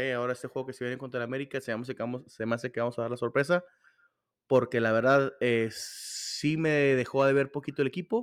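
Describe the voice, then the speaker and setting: This man has an unremarkable speaking voice at a medium pitch, with ordinary pitch variation and a fairly quick pace. The recording is very clean, with a silent background. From Torreón, northern Mexico. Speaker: football podcast host. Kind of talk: casual football chat.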